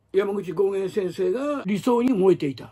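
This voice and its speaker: A man's intonation is lively, and the background stays quiet. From Japan. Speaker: martial arts writer and former magazine editor; martial arts commentator. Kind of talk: solo commentary monologue; commentary monologue. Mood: indignant in places. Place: home room. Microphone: phone near.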